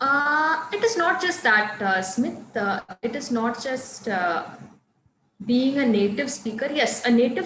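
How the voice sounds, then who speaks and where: Lively intonation rings through audible room echo. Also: woman. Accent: Tamil. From Coimbatore, Tamil Nadu, India. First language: Tamil. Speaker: English teacher. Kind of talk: online class.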